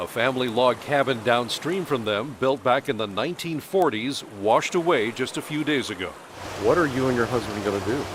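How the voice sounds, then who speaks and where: A man at medium pitch and a fairly quick pace, with ordinary pitch variation amid noticeable background noise. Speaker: TV news reporter. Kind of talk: TV news report narration.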